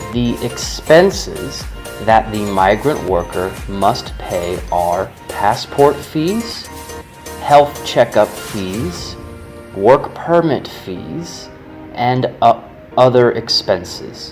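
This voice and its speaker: Very slow speech over music in the background. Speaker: voice-over narrator. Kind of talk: government informational narration. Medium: animation voice-over.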